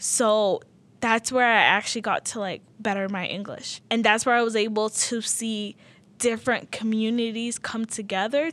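In a very clean recording with a silent background, a woman with an American accent speaks at a moderate pace and a fairly high pitch. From Utah, grew up in South Salt Lake refugee community (born Sudan). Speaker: refugee community educator. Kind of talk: interview. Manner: animated.

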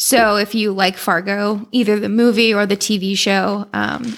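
A woman speaks with an unremarkable speaking voice at a medium pitch. Her intonation stays fairly even. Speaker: podcast guest. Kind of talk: casual chat.

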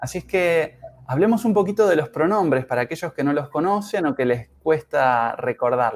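At a moderate pace, a man talks in a fairly high voice that swings very widely in pitch. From Uruguay. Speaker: English teacher. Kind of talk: language lesson. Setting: live stream.

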